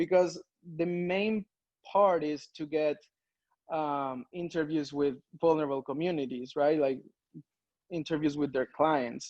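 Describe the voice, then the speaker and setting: In a Spanish accent, the voice moves at a fairly slow pace with long, frequent pauses and fairly even intonation, in a dry, close sound with no echo. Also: man. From Peru. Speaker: strategy consultant. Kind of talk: conference talk. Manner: hesitant, many fillers.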